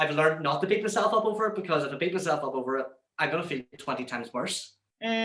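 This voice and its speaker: Lively in intonation, a man talks at a very fast pace and a fairly high pitch. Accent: Northern Irish. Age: 20s. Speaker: radio presenter. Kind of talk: interview.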